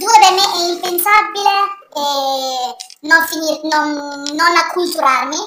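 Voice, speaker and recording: A woman speaks in a raised, projected voice. Noticeable background noise runs underneath. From southern Italy, Salento (Apulia). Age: 20s. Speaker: university student and podcast guest. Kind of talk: interview.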